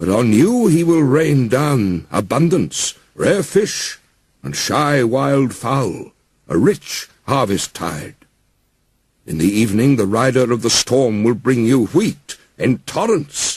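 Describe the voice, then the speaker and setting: This is a put-on character voice delivered at a fairly slow pace. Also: man, medium pitch for a man. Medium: read story. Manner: commanding.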